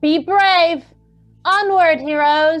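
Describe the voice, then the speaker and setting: A put-on character voice at an extremely high pitch, with faint music in the background. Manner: encouraging, heroic.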